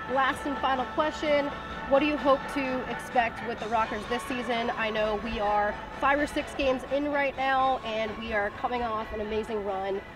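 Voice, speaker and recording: A woman speaks at a moderate pace with ordinary pitch variation while clear music plays in the background. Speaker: sports interviewer, podcast host. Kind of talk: interview questions. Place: stadium.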